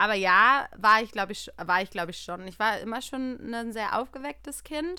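Bright and sharp in tone, a woman's fairly high voice moves at a moderate pace with lively intonation and hardly any pauses. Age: 30s. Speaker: podcast co-host. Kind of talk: casual chat.

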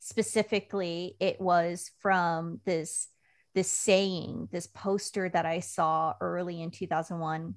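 A woman speaks with an American accent and fairly even intonation, in an unremarkable speaking voice. The recording is very clean, with a silent background. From Washington State (Puyallup). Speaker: communications consultant and army veteran. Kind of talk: podcast interview.

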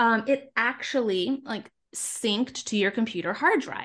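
A woman with a fairly high pitch and lively intonation talks at a fairly slow pace in an ordinary speaking voice. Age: 30s. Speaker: digital organizer, former teacher. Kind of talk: casual interview.

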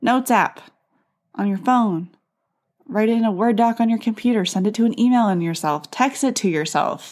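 On a very clean recording with a silent background, a woman speaks in an animated tone at a moderate pace. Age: 20s. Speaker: podcast host and Pilates instructor. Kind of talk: casual solo podcast talk. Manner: animated, laughs often.

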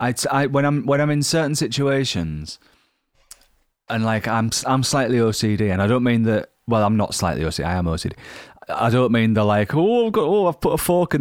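At a very fast pace, a man speaks at a medium pitch with very wide pitch swings. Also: very clean recording, silent background. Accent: Yorkshire. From Yorkshire, northern England. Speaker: touring rock musician. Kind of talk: casual interview chat.

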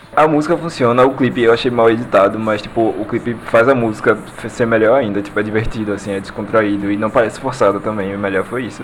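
A man of medium pitch at a very fast pace, hardly any pauses, ordinary pitch variation and noticeable background noise. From Pernambuco, Brazil (Recife). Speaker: pop culture podcaster. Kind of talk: casual chat.

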